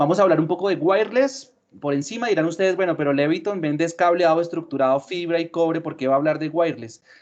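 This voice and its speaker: A man's high voice at a very fast pace, hardly any pauses, and ordinary pitch variation. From Colombia. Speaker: sales manager. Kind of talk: webinar presentation.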